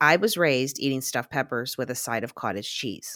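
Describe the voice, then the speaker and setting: A woman with an American accent at a fairly quick pace, on a very clean recording with a silent background. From Pittsburgh area, US. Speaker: podcast co-host. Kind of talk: casual chat.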